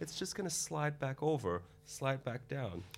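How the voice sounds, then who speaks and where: Vocal fry runs through this man's voice. He talks at a fairly slow pace. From Belgium, Antwerp. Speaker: cosmetic doctor. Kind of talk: interview. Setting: studio.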